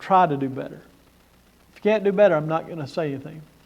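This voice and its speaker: Very fast speech with lively intonation rings out with audible room echo. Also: man. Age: 60s. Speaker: conference speaker on church leadership. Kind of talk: conference talk.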